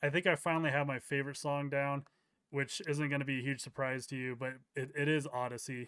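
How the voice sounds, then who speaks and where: This man mumbles at a fairly quick pace in a monotone, flat delivery, his pitch fairly high and his tone bright and sharp. The recording is very clean, with a silent background. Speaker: crypto YouTuber. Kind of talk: interview. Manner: mumbling; halting.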